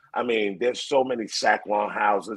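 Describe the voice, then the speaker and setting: A man speaks with a Bronx accent. His pace is moderate. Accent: New York, Bronx. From New York City, the Bronx. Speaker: hype man. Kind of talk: interview.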